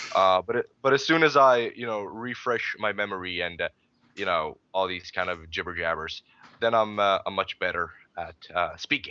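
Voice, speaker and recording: A man with a Swedish accent, a bright, sharp tone and a fairly low pitch, lively intonation at a moderate pace, in a dry, close recording with no echo. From Sweden. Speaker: gaming podcast host. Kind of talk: casual chat.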